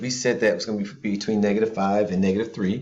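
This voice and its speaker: A man speaks quietly at a fairly quick pace. His tone is calm. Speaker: math teacher. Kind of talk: tutorial. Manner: calm and quiet.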